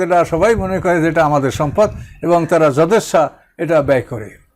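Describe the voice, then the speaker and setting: A man's voice with ordinary pitch variation. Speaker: Islamic scholar and preacher. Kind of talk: religious lecture.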